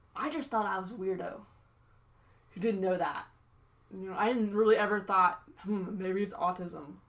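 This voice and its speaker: The speaker goes at a moderate pace with ordinary pitch variation, leaving long, frequent pauses. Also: woman, medium pitch for a woman. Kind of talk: interview conversation. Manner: hesitant, many fillers; unsure of own volume.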